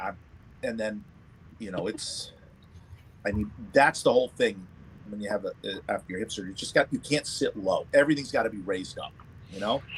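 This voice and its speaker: A man talks at a fairly quick pace with long, frequent pauses. His loudness swings widely. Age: 50s. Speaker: livestream panel participant, cigar and whiskey enthusiast. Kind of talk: casual chat.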